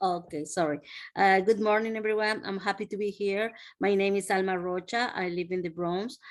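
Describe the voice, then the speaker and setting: A woman speaks with a Spanish accent at a moderate pace and a medium pitch. Her intonation stays fairly even, and the background is quiet. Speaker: nanny. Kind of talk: self-introduction in online meeting. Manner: halting.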